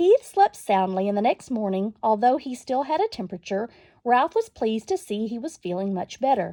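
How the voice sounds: This clip features a natural reading voice with lively intonation.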